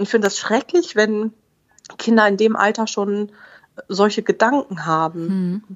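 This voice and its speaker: A woman's fairly slow speech with ordinary pitch variation and long, frequent pauses. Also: fairly high pitch for a woman. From Oberbergisches Land, western Germany. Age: 30s. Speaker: mother and family blogger. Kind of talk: interview.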